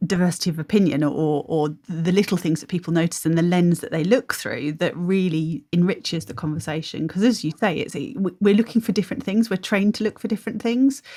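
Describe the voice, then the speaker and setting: Very fast with hardly any pauses, a woman speaks at a fairly low pitch in a dark, mellow, somewhat breathy tone with big swings in loudness. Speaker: podcast co-host, veterinary professional. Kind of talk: casual conversation.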